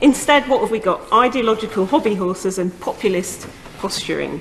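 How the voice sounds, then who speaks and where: Noticeable background noise is present throughout. A woman's speech moves at a moderate speed. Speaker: member of parliament. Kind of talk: parliamentary speech / debate.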